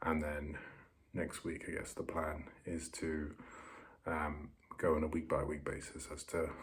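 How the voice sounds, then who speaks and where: A man with a British accent speaks quietly in a very deep, low voice. His delivery is somewhat breathy and flat, with monotone intonation. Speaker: vlogger. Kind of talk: casual vlog monologue. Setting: bedroom on holiday. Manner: halting. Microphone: poor audio.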